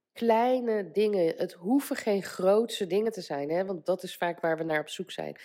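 A woman speaks in a plain, everyday voice. Her intonation is lively. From Netherlands. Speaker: life coach and podcaster. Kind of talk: solo motivational podcast monologue. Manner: casual with frequent fillers.

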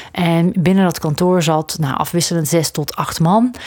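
A normal speaking voice at a fairly slow pace. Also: woman. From southern Netherlands near Belgian border. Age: 40s. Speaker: coach and podcast host. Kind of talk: solo podcast monologue.

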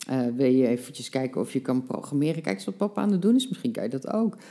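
A woman speaks with lively intonation in a dark, mellow tone at a very deep, low pitch. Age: 50s. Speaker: life coach. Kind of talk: casual interview.

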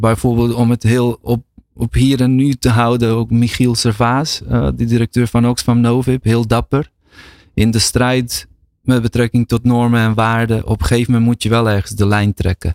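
A man speaks at a fairly slow pace and medium pitch, in a monotone, flat intonation. His loudness stays very even, and the sound is dry and close with no echo. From Bosnia (former Yugoslavia). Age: 40s. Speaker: researcher and lecturer. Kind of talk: casual chat. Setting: studio.

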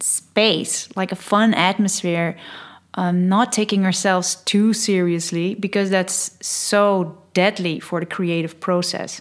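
With a Dutch accent, a woman speaks at a medium pitch in a flat, monotone way on a very clean recording with a silent background. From Netherlands. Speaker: podcast host and change consultant. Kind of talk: scripted-style solo podcast intro, casual.

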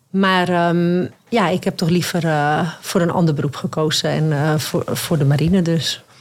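At a fairly slow pace with hardly any pauses, a woman speaks at a fairly low pitch with fairly even intonation and very even loudness. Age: 30s. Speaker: navy sergeant-major. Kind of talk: interview. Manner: hesitant with fillers.

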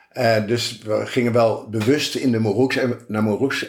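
This man has an ordinary speaking voice, medium pitch and ordinary pitch variation. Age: 60s. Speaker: retired self-builder and emigrant. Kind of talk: interview conversation.

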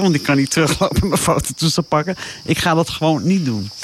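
Noticeable background noise accompanies a woman with a very deep, low pitch. She talks at a fairly quick pace with very wide pitch swings. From South Africa (moved from eastern Netherlands at age 8). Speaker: safari traveller, radio guest. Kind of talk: casual interview chat.

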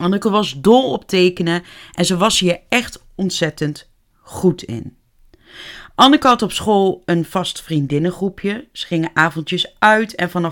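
Lively intonation from a woman at a medium pitch and fairly slow pace, on a very clean recording with a silent background. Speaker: true crime podcaster. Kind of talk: true crime storytelling. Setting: home office.

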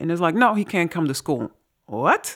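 A woman with vocal fry at a fairly quick pace, in a very clean recording with a silent background. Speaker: author and podcast host. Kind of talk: casual conversation and reading aloud.

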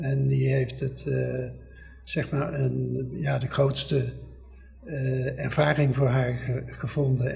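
Very slowly, a man speaks amid audible room echo. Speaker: son of war evacuees, family historian. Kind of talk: oral history interview.

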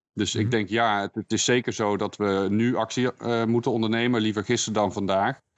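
This man talks at a fairly quick pace in a fairly low pitch, his intonation monotone and flat.

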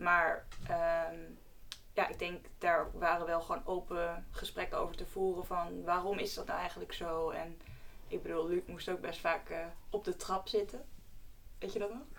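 Audible room echo around a woman's fairly slow delivery. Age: 20s. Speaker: medical student. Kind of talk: casual chat.

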